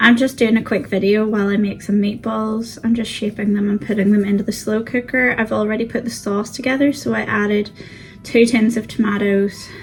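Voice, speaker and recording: Against music in the background, a woman with a British accent talks at a fairly quick pace, fairly high in pitch, with fairly even intonation. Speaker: frugal living vlogger. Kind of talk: casual cook-along vlog. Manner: chatty, with fillers.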